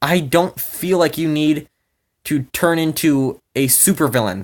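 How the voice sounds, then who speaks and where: This man has an American accent and a fairly high pitch. He talks at a fairly slow pace with lively intonation. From Minnesota, US Midwest. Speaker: YouTuber, amateur real-life superhero. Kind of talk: rant video. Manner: animated.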